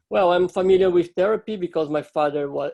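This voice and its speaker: A man with a Portuguese accent and a dark, mellow tone speaks with ordinary pitch variation in a dry, close sound with no echo. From Brazil. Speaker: startup co-founder. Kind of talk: webinar presentation. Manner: halting.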